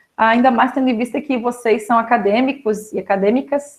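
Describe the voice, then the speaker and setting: A woman's high-pitched voice at a moderate pace. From Florianópolis, Santa Catarina, Brazil. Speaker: pedagogue, special education specialist. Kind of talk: online talk to students.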